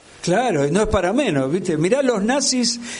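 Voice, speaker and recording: Audible room echo and noticeable background noise fill the recording. A man talks with lively intonation in a Rioplatense accent. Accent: Argentine Rioplatense Spanish. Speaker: radio interviewer. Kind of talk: interview.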